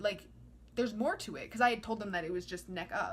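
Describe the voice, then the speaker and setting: A woman with a medium-pitched voice talks at a moderate pace, her pitch shifting in an ordinary way amid noticeable background noise. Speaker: vlogger. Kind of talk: casual monologue. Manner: rambling, filler-heavy.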